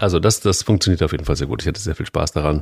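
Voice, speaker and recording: A man speaks with a very deep, low pitch and ordinary pitch variation. The sound is dry and close, with no echo. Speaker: podcast co-host, editor-in-chief. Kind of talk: casual chat. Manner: animated.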